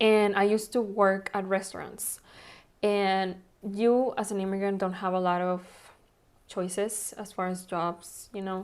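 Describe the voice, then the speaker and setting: Here a woman speaks with a Spanish accent. Her delivery is monotone and flat at a fairly slow pace. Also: medium pitch for a woman. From Mexico (Monterrey), moved to Texas at 15. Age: 30s. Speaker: nail technician and salon owner. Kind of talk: interview. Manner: conversational, many fillers.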